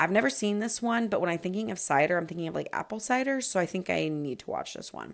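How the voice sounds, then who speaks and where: A woman with a Western US accent, animated in tone, with lively intonation and a fairly quick pace, on a very clean recording with a silent background. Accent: American, western US. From Utah. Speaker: podcast host. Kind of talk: casual solo podcast chat.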